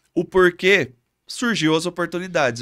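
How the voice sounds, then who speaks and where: A man with a São Paulo countryside accent and ordinary pitch variation. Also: very clean recording, silent background. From Brazil, Catanduva, São Paulo state countryside. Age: 30s. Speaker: physiotherapist, local council candidate. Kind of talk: interview. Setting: studio.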